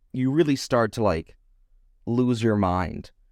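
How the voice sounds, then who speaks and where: A man speaks on a very clean recording. The background is silent. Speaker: podcast co-host. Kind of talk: casual chat. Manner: halting, many fillers and restarts; subdued, low energy.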